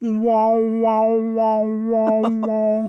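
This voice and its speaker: In a put-on character voice, a female-sounding speaker holds a monotone, flat intonation at a fairly high pitch. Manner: imitation, roaring 'wow' sounds.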